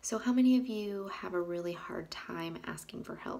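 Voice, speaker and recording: In a room with audible echo, a woman speaks at a medium pitch with ordinary pitch variation. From Colombia. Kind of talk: devotional vlog talk. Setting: bathroom at home. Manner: halting.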